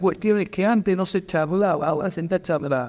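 Against a quiet background, a man is speaking. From Argentina. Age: 50s. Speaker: history teacher speaking at a pensioners' rights debate; panelist. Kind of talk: public debate contribution. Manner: halting, frequent repetitions. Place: hall. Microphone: handheld.

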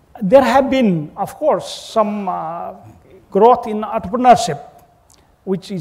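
Pitch in this man's speech varies in an ordinary way. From Nepal. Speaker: government official, diplomat. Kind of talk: panel discussion. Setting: stage with live audience at conference. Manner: hesitant, many fillers. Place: hall. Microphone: lapel.

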